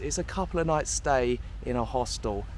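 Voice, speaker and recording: A man speaks at a moderate pace with a southern English accent. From southern England, near London. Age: 20s. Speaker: travel vlogger. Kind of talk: casual vlog Q&A.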